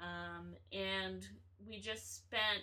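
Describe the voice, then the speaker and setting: A woman speaks with an American accent, and audible room echo surrounds her voice. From north Florida (near Gainesville). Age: 20s. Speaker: guest, former engineer turned performer. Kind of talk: casual chat.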